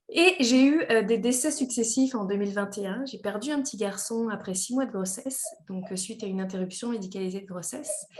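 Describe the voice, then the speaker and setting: A woman with a slight Quebec accent speaks at a fairly high pitch and a fairly quick pace, with lively intonation, hardly any pauses and big swings in loudness over noticeable background noise. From France. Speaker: engineer and company director. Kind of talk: podcast interview. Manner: hesitant, many fillers.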